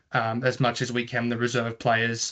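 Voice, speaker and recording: A man talks at a fairly quick pace with a medium pitch and a bright, sharp tone. The background is quiet. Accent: Australian. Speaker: tennis competition organiser. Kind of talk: online information session presentation. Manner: fast.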